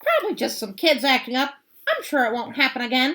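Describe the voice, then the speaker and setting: A woman speaks in a put-on character voice, raspy and high-pitched. Her pace is fairly quick, with ordinary pitch variation. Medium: read story. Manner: harsh, menacing.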